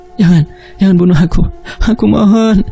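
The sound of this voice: A shaky put-on character voice sits at a middle pitch and moves at a moderate pace. Music plays in the background.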